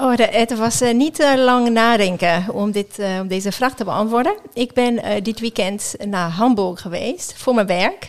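A woman with a non-native accent, speaking with hardly any pauses. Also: fairly high pitch for a woman, ordinary pitch variation, fairly slow pace. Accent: foreign accent in Dutch. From France, near Geneva. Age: 50s. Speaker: sports chaplain. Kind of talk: interview. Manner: halting.

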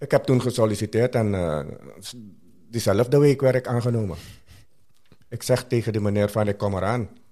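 On a very clean recording with a silent background, a man with a Surinamese accent speaks at a moderate pace in a dark, mellow, medium-pitched voice with ordinary pitch variation and long, frequent pauses. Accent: Surinamese Dutch. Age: 60s. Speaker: interview guest sharing life story. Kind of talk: personal testimony.

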